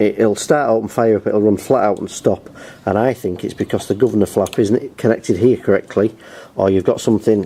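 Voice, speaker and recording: Noticeable background noise sits behind a man speaking very fast. His pitch is fairly low, with fairly even intonation. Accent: English. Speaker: lawnmower repair youtuber. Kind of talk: tutorial.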